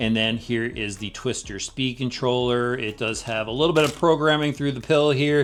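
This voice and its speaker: The speaker is a man talking at a moderate pace. His pitch variation is ordinary. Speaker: RC vehicle reviewer. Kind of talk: product review. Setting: outdoors. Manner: loud.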